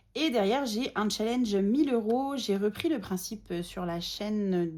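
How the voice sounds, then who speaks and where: Over a silent background in a very clean recording, a woman speaks at a fairly slow pace with a dark, mellow tone and lively intonation. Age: 30s. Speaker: budgeting vlogger. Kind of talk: casual tutorial vlog. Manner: hesitant, many fillers.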